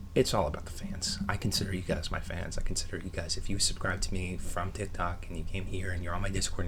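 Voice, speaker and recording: A man whispers at a very fast pace. Audible room echo surrounds the whisper. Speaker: online video creator. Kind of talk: casual vlog monologue. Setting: bedroom at home. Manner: whispering.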